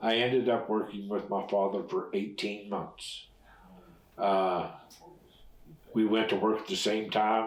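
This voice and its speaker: Pausing long and often, a man speaks fairly slowly with a flat, monotone intonation. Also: fairly low pitch for a man. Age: 70s. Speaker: retired railroad fireman. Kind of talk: oral history interview answer.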